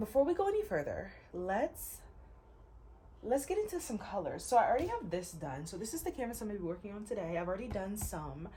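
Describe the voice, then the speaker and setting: Noticeable background noise sits behind a woman talking at a very fast pace. Her pitch swings very widely. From US Midwest, Ohio. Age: 20s. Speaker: artist and content creator. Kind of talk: casual chat while painting. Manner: laid back.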